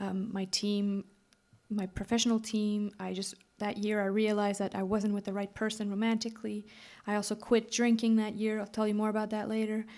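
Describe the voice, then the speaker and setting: On a very clean recording with a silent background, a woman speaks at a fairly quick pace with a slight Quebec accent. Her fairly high voice is dark and mellow in tone, with monotone, flat intonation. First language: French. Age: 30s. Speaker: singer-songwriter. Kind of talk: stage banter between songs. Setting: live stage with audience. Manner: casual, chatty.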